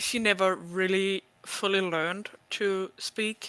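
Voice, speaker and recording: A man speaks in a high pitch with a bright, sharp tone. His voice is raised and projected. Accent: non-native. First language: not English. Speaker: cosplayer. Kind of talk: casual chat.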